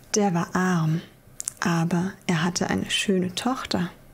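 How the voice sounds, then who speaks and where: A soft-spoken woman talks at a very slow pace. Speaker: storyteller. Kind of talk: reading a fairy tale aloud. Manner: soft, quiet ASMR storytelling voice. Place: home room.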